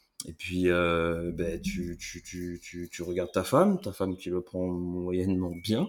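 Very deep and low in pitch, a man speaks at a very slow pace with hardly any pauses and monotone, flat intonation. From France, Limoges area. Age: 30s. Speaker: army veteran. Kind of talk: casual chat.

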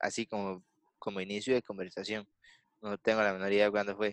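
A man with a Costa Rican accent at a fairly quick pace, dry and close with no echo, over a quiet background. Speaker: podcast host. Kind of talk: casual chat. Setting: video call. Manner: animated.

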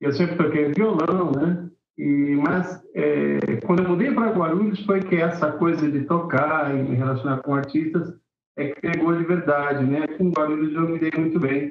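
The pitch shifts in an ordinary way across a normal speaking voice. Delivery is at a moderate pace. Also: man, fairly high pitch for a man. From Brazil, São Paulo city (Vila Carrão). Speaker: singer-songwriter and music teacher. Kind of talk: casual interview.

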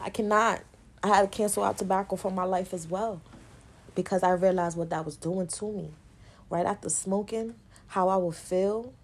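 A woman at medium pitch talks at a moderate pace with fairly even intonation, leaving long, frequent pauses. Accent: New York. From New York. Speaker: podcast host. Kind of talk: casual monologue.

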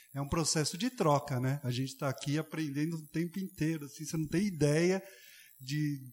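Somewhat breathy speech comes at a moderate pace with ordinary pitch variation. The recording is very clean, with a silent background. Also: man. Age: 40s. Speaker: architect and volunteer educator. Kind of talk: casual chat.

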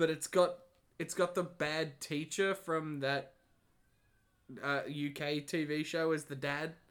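A man's fairly high-pitched, flat monotone at a fairly slow pace, broken by long, frequent pauses, on a very clean recording with a silent background. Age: 20s. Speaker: podcast co-host. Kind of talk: casual chat.

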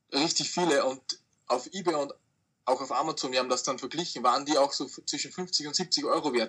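A man with a plain, everyday voice speaks at a fairly high pitch and a fairly quick pace, with ordinary pitch variation. The recording is very clean, with a silent background. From Austria. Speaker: online reseller. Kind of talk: interview.

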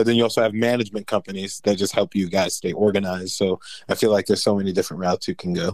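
A man's very fast, fairly low-pitched speech with ordinary pitch variation, on a very clean recording with a silent background. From New Jersey, US. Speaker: metal vocalist. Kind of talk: casual chat.

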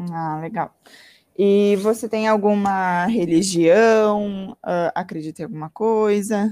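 At a very slow pace, a woman speaks in a dark, mellow tone at a medium pitch with fairly even intonation. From Santa Maria, Rio Grande do Sul, Brazil. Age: 20s. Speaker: university student. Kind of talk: role-play medical consultation practice.

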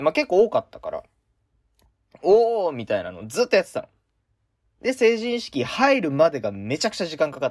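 Recorded dry and close with no echo, a man talks with big swings in loudness and long, frequent pauses. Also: fairly quick pace. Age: 20s. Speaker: university student radio host. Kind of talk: casual chat. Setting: remote from home.

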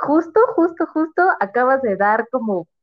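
A woman speaks at a very slow pace with very wide pitch swings. Music plays in the background. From Mexico City. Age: 20s. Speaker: marketing professional. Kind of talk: casual interview. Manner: halting, many fillers.

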